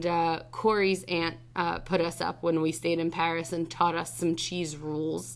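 A woman with an American accent, fairly low pitch and a fairly slow pace. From New Jersey (Freehold). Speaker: high school Spanish teacher. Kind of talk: casual interview. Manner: animated.

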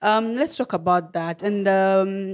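This very clean recording has a silent background. A woman with a medium pitch speaks with a Kenyan accent. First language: Kenyan language. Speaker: podcast host. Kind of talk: interview conversation. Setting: studio. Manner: halting, many fillers and repetitions.

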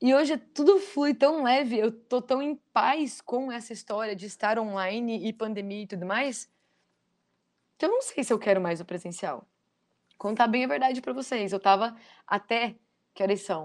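In a very clean recording with a silent background, a woman with a plain, everyday voice speaks at a moderate pace and a fairly high pitch, with lively intonation. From Foz do Iguaçu, Paraná, southern Brazil. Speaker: life coach and trainer. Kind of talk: interview / motivational talk.

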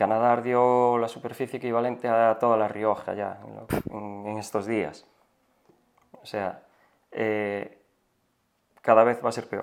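A man's medium-pitched, monotone, flat delivery broken by long, frequent pauses. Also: fairly slow pace. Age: 40s. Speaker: forest firefighter. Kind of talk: interview.

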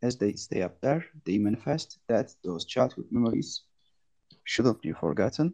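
With a Turkish accent, a man speaks at a moderate pace and medium pitch, his dark, mellow tone edged with vocal fry in a dry, close sound with no echo. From Turkey, rural village. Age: 30s. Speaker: teacher and NFT artist. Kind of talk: artist presentation. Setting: online audio space. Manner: halting.

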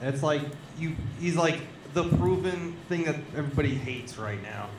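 A man with a fairly high voice keeps a moderate pace as noticeable background noise fills the clip. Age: 20s. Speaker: livestream guest. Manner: casual, animated.

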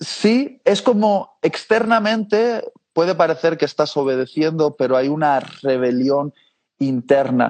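An ordinary speaking voice moves at a fairly slow pace with lively intonation. Its loudness stays very even. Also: man, fairly high pitch for a man. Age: 30s. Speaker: preacher. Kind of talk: interview.

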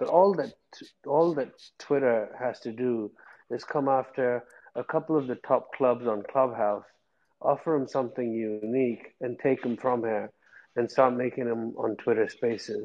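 A man speaks in a plain, everyday voice. His pace is moderate and his pitch variation ordinary. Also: medium pitch for a man. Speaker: audience participant.

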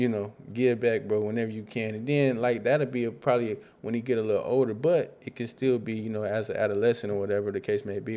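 This voice has a dark, mellow tone and an American accent. It moves at a very fast pace with fairly even intonation. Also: man. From Rockford, Illinois. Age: 20s. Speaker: musician. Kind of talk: casual interview. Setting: studio.

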